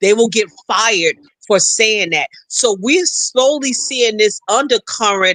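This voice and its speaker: In a raised, projected voice, a man speaks at a very slow pace with a high pitch and a bright, sharp tone, the sound dry and close with no echo. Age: 60s. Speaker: political commentator, housing specialist. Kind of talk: panel discussion. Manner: animated.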